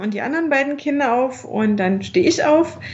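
A woman with lively intonation, amid noticeable background noise and audible room echo. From Dresden area, Saxony (East Germany). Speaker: entrepreneur and mother. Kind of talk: interview.

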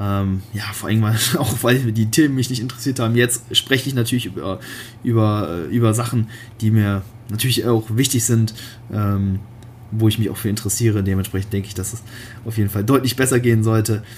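Somewhat breathy and medium in pitch, a man's voice moves at a fairly quick pace with fairly even intonation. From Germany, Cologne. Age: 20s. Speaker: bodybuilder and online fitness coach. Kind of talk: solo podcast monologue. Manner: casual, many filler words.

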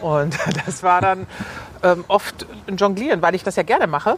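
This woman has a medium-pitched voice. She speaks at a moderate pace. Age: 50s. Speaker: pastor's wife and advertising copywriter. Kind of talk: casual interview while walking. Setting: outdoors, walking through a cemetery.

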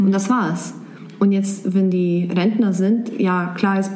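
The speaker has a Serbian accent and a moderate pace, with fairly even intonation. Audible room echo and noticeable background noise are present. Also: woman. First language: Serbian (speaking German). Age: 20s. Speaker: blogger and office worker. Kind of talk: interview. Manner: halting.

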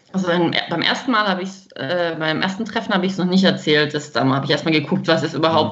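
Very fast speech from a woman with a fairly low pitch and fairly even intonation, amid noticeable background noise and audible room echo. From Baden-Württemberg, Germany. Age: 30s. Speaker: woman with congenital heart defect, grief companion for children. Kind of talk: podcast interview.

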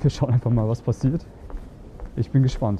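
A man is speaking here. His voice sits at a medium pitch. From Germany. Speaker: dating coach and podcaster. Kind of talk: casual vlog-style coaching monologue. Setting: outdoors on the street.

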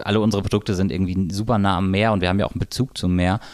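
A man speaks in a normal speaking voice. His pitch is fairly low. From North Frisia, northern Germany. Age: 30s. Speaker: hotel director. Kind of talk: casual chat. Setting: studio.

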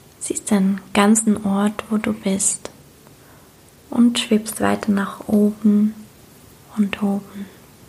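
A woman's medium-pitched, soothing, calm voice at a very slow pace, monotone and flat, broken by long, frequent pauses over noticeable background noise. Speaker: meditation guide and coach. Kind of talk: guided meditation. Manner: slow, soothing, calm; gentle, dreamy, repeated phrases.

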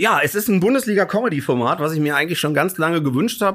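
Talking at a very fast pace, a man uses lively intonation. His tone is animated. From Hesse, Germany. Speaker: comedian. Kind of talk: casual chat.

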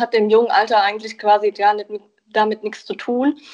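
A woman speaks at a fairly high pitch. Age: 20s. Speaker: hearing aid acoustician. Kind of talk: interview. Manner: hesitant with fillers.

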